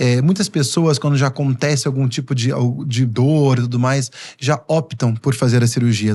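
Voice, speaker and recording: A man talks at a moderate pace in a dark, mellow, somewhat breathy tone. His intonation stays fairly even. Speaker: physiotherapist. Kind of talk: podcast interview.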